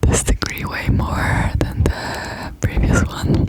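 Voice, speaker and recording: A whisper comes through with noticeable noise behind it. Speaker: ASMR creator. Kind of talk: ASMR rambling talk to camera. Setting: close-up microphone. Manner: whispered.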